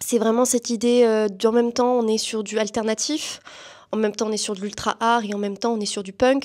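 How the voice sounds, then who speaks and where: Her fairly high voice runs at a fairly quick pace, the woman keeping a monotone, flat intonation. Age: 20s. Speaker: student and performer. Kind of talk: interview. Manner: hesitant, many fillers.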